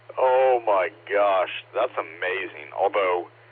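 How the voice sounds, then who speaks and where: A man's voice amid noticeable background noise. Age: 40s. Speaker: amateur radio operator. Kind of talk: casual chat.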